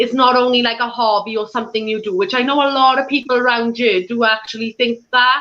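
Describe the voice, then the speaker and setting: In a strong Welsh accent, a woman talks at a moderate pace, her high pitch held fairly even. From Wales, Swansea. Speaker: paranormal investigator and tour organizer. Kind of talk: interview on live stream.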